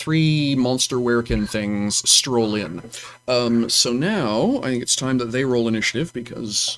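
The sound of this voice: This is an unforced reading voice. The text is read aloud in it.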